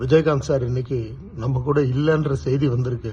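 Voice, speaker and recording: This man has a fairly high pitch, a somewhat breathy voice, and fairly even intonation. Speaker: film actor. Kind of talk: tribute speech to camera.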